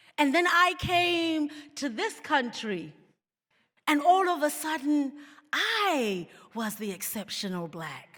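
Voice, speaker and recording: With a South African accent, a woman speaks at a very slow pace in a high pitch and a bright, sharp tone, with very wide pitch swings, big swings in loudness, and long, frequent pauses. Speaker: keynote speaker. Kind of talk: keynote speech.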